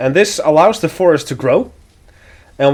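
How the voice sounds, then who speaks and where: A man with a slight Dutch accent, lively intonation and a moderate pace. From Netherlands. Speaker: video game streamer. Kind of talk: let's play commentary.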